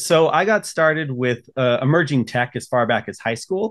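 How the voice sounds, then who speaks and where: A man's voice with ordinary pitch variation and a fairly quick pace against a quiet background. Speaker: podcast guest. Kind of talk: interview answer. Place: home room.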